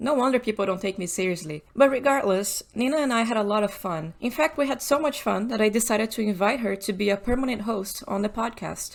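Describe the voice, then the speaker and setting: Talking at a very fast pace with hardly any pauses, a woman in a Portuguese accent has a fairly high pitch and ordinary pitch variation. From Brazil, São Paulo. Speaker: podcast host, technical artist. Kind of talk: casual chat; scripted narration. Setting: podcast recording.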